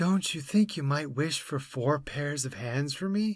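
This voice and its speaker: On a very clean recording with a silent background, a man uses a put-on character voice pitched fairly high. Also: moderate pace. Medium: read story.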